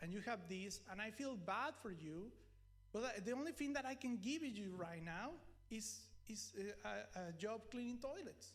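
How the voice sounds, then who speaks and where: With audible room echo, a high-pitched man in a Mexican accent speaks at a moderate pace with ordinary pitch variation. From Mexico. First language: Spanish. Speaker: preacher. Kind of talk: sermon.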